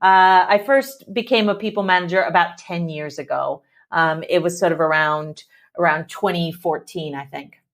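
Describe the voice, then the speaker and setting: A woman with an American accent uses an ordinary speaking voice, fairly low in pitch, with ordinary pitch variation and a moderate pace. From US Midwest. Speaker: tech executive. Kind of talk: interview.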